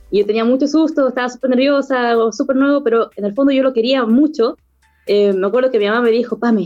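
A woman talks at a very fast pace with a high pitch and a dark, mellow tone. Her loudness stays very even, and her pitch varies in an ordinary way. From southern Chile, La Unión. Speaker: podcast guest. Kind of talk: casual interview.

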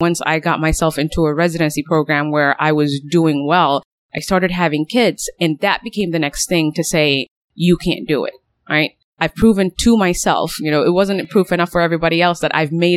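A woman with a plain, everyday voice and an American accent talks at a fairly quick pace. The very clean recording has a silent background and a dry, close sound with no echo. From Somalia, then US from age nine. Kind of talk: interview.

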